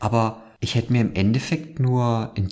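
Noticeable background noise sits behind this recording. A man speaks at medium pitch. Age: 30s. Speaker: podcast host. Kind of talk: casual chat.

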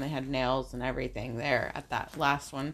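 The speaker is a woman. She talks at a moderate pace. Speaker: podcast co-host and salon employee. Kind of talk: casual chat. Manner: shaky voice when emotional.

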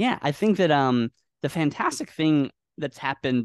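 Recorded dry and close with no echo against a quiet background, a man speaks with an American accent. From US Northwest, Washington State. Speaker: AI futurist and CEO. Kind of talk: interview. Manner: halting, repeated words.

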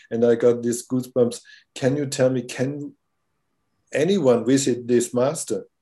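A man's dark, mellow voice at medium pitch, monotone and flat in intonation, in a German accent. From Germany. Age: 60s. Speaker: filmmaker. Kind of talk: casual interview. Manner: halting.

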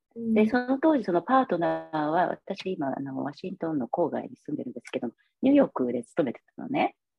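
A woman's fairly low voice with very wide pitch swings and big swings in loudness, over music in the background. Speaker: massage therapist. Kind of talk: interview testimony. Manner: hesitant, many fillers.

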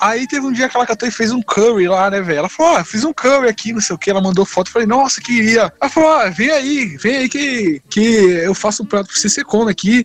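Noticeable background noise runs under a man's voice. He talks at a fairly quick pace with lively intonation. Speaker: podcast host. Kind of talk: casual chat.

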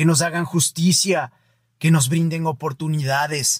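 A man's high-pitched voice at a fairly slow pace with fairly even intonation, dry and close with no echo, on a very clean recording with a silent background. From Ecuador. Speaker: podcast host. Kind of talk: scripted reflective monologue. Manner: formal.

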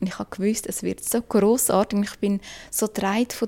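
A woman's dark, mellow tone at a fairly high pitch, with fairly even intonation and a moderate pace. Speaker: podcaster and co-creator. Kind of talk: casual chat.

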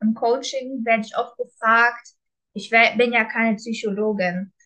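Calm and monotone, a woman speaks in a bright, sharp tone at a fairly high pitch. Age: 20s. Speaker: coach. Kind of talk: personal testimony.

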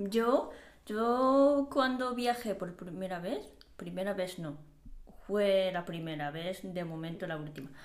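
A woman with a Japanese accent speaks at a very slow pace in a medium pitch, her intonation lively. Her loudness swings widely, and the room echo is audible. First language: Japanese (speaking Spanish). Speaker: podcast co-host. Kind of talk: casual chat. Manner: halting.

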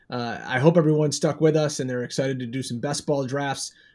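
The recording is very clean, with a silent background. A man speaks at a fairly high pitch and a fairly quick pace in an ordinary speaking voice. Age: 40s. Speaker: fantasy football podcaster and writer. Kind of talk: casual chat.

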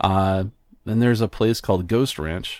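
In a very clean recording with a silent background and a dry, close sound with no echo, a man with a fairly low pitch speaks with an American accent. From US Southwest, northern New Mexico. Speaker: tech podcaster and graphic designer. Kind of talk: casual interview chat.

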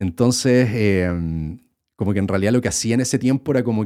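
A man with a Chilean accent speaks at a medium pitch with ordinary pitch variation. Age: 30s. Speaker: YouTuber and podcast host. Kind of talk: casual solo podcast monologue. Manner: casual, filler-heavy with repetitions.

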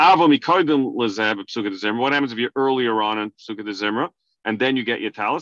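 A man with an American accent, bright, sharp tone and lively intonation, in a dry, close sound with no echo over a quiet background. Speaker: Torah teacher giving a halacha lesson. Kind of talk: religious lecture. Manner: explanatory, somewhat halting with fillers.

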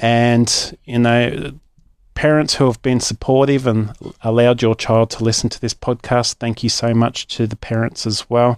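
Speaking at a moderate pace with an Australian accent, a man of medium pitch keeps a flat, monotone delivery in a dry, close recording with no echo. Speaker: children's story podcast host. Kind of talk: casual announcement to listeners. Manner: casual, chatty with hesitations.

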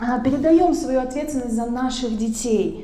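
There is audible room echo as a woman speaks in a high pitch with ordinary pitch variation. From the West. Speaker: psychologist. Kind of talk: talk to audience.

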